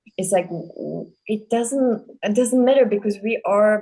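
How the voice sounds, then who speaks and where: Speaking with a Czech accent at a very slow pace, a woman has a dark, mellow tone, medium pitch, and fairly even intonation. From Czech Republic. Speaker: podcast host, dancer. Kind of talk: casual interview chat. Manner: halting, many fillers.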